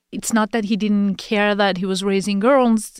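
Delivered with a Persian accent, the voice comes through on a very clean recording with a silent background and a dry, close sound with no echo. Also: woman. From Iran. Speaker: press freedom advocate. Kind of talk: interview.

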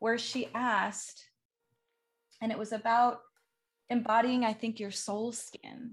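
A woman speaks in a fairly high pitch with a warm, enthusiastic tone. Her voice is somewhat breathy. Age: 40s. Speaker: podcast host. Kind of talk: casual interview chat.

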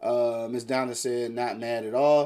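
The man speaks at a medium pitch with a dark, mellow tone. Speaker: internet radio host. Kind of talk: casual chat. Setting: studio. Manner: animated.

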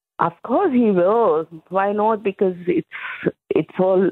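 A woman speaks at a fairly slow pace and medium pitch. It is a plain, everyday voice. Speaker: market organiser. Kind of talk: radio interview.

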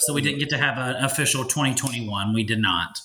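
A bright, sharp tone with fairly even intonation. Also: man.

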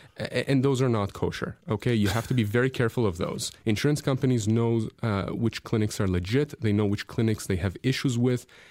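At a fairly quick pace with hardly any pauses, a man uses a plain, everyday voice at medium pitch. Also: ordinary pitch variation, very even loudness. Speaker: lawyer radio host. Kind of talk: radio call-in show. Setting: radio studio.

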